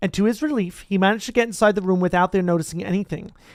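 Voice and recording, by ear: A natural voice carries this read-aloud passage.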